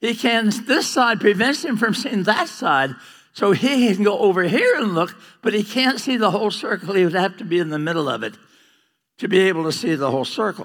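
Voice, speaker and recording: The recording is very clean, with a silent background. A man with a high pitch talks at a fairly quick pace, his tone animated and his intonation lively. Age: 80s+. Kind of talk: lecture. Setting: stage with audience.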